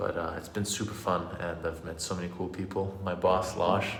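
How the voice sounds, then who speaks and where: The man's pitch is very deep and low, and he keeps a moderate pace. Audible room echo surrounds his voice. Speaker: vegan fitness youtuber. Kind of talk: live stream Q and A. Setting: hotel room live stream. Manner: halting, stuttering. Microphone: echoey room.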